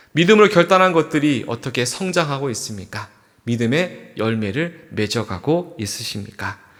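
A man with a fairly high pitch speaks at a moderate pace, his voice making very wide pitch swings. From South Korea, Andong, North Gyeongsang. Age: 40s. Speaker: pastor. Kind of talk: sermon.

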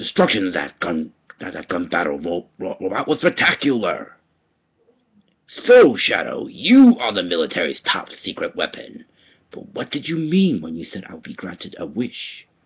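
A man projects a raised, put-on character voice at medium pitch. His loudness swings widely. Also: moderate pace. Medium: voice reel. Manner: villainous, gloating.

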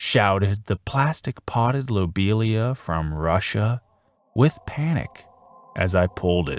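It is an unforced reading voice. The intonation is lively.

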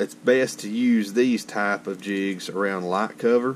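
A man speaks at a very slow pace in a fairly low pitch. Light background noise can be heard. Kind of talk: tutorial. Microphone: phone near.

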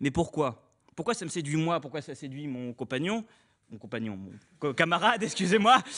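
A man speaks with a bright, sharp tone and a fairly high pitch, his voice making very wide pitch swings and big swings in loudness. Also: moderate pace. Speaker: student speaker. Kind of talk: speech. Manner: casual.

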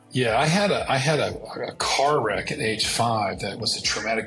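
With faint music in the background, the man's speech moves at a moderate pace. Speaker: entrepreneur and pilot. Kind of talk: interview answer. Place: office. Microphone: earbuds.

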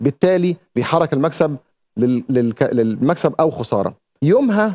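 Fairly slow speech from a man with a fairly high pitch. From Egypt. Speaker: TV presenter and journalist; TV presenter, journalist. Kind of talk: TV segment monologue. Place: studio. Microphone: lapel.

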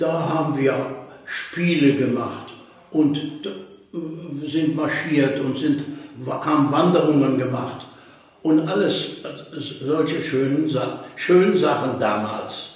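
Very slow speech in strong room echo. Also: man, fairly high pitch for a man. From Germany. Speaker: contemporary witness. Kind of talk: oral history interview. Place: home room.

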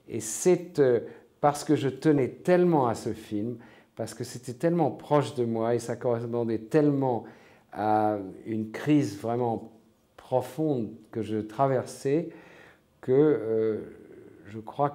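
Against a quiet background, a man with a dark, mellow tone speaks at a very slow pace, leaving long, frequent pauses. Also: ordinary pitch variation. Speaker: interviewee. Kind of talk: interview answer. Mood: reflective, calm. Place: home room.

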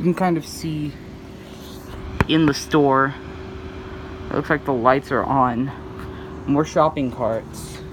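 The speech moves at a very slow pace with long, frequent pauses. Noticeable background noise is present throughout. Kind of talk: casual narration of a walkaround. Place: street. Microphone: phone near.

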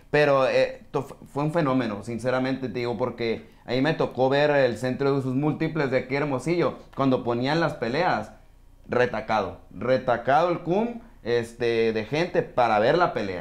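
A man at a medium pitch and a moderate pace. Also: ordinary pitch variation. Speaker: sports podcaster. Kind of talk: casual chat. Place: studio.

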